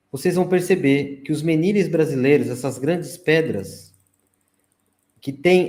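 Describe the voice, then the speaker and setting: A man's fairly high voice, dark and mellow in tone, at a moderate pace. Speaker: researcher of ancient sites and ufology. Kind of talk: interview presentation with slides.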